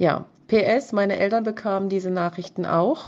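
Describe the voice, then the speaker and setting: A woman speaks in a dark, mellow tone with fairly even intonation. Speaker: listener sending a voice message. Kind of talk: voice message testimony. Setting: voice message.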